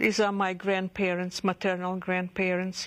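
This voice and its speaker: At a fairly slow pace, a woman speaks at medium pitch with monotone, flat intonation. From Odessa, Ukraine (USSR). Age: 50s. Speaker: Holocaust survivor. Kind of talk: testimony. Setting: recorded interview. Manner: halting, with stammers and restarts.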